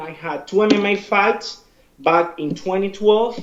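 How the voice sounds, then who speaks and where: Over noticeable background noise, a man with a Spanish accent talks at a fairly slow pace in a high voice with ordinary pitch variation. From Cuba. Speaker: martial arts instructor and fighter. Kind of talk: interview.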